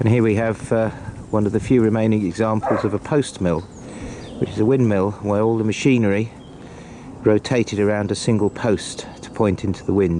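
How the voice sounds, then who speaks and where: A man's fairly low voice with an English accent, fairly quick and fairly even in intonation, over noticeable background noise. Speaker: walking vlogger. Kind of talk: travel vlog narration. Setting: outdoors.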